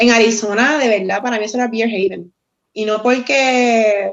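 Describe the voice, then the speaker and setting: In a Puerto Rican accent, a woman speaks at a fairly high pitch. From Puerto Rico, Guayama area. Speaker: former bartender, craft beer enthusiast. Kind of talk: casual chat. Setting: video call from phone. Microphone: phone instead of computer.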